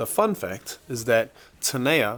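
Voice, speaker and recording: With a New Zealand accent, a man talks in very wide pitch swings. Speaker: fitness coach. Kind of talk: casual chat. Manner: casual, rambling with fillers.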